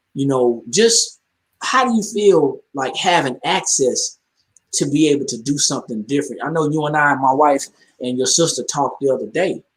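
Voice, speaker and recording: With an unremarkable speaking voice, a man talks at a moderate pace, his pitch fairly high and his intonation lively. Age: 40s. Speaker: call host. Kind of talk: casual chat. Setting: group call.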